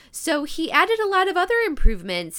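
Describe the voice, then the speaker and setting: A woman's bright, sharp, animated voice at a moderate pace, with very wide pitch swings. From US Midwest. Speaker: podcast host. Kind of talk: casual chat, interview. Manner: animated, excitable.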